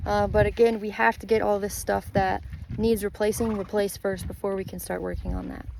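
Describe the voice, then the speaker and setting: The speaker moves at a fairly quick pace in an American accent over noticeable background noise. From Texas. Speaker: horse sanctuary operator. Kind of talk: informal video walkthrough. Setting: outdoors. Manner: fast.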